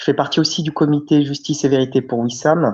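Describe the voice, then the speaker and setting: A man keeps a moderate pace, the background around him quiet. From France, Clermont-Ferrand. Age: 30s. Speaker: victim's brother, activist. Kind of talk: interview. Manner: hesitant, many fillers.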